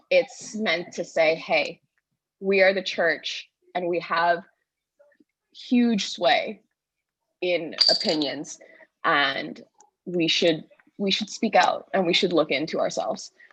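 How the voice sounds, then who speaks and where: A woman speaks at a very slow pace in a shaky, medium-pitched voice, with ordinary pitch variation and long, frequent pauses. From Bahamas. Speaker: convention delegate, history teacher. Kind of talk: public comment in church convention debate. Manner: shaky voice.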